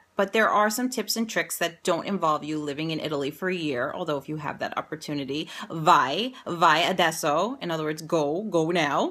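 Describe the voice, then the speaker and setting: Her tone is bright, sharp and upbeat, and she has an American accent. The woman speaks at a fairly quick pace in a fairly low pitch, with hardly any pauses. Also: ordinary pitch variation. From New York, Staten Island. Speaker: educator and career coach. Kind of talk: promotional vlog. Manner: conversational, upbeat.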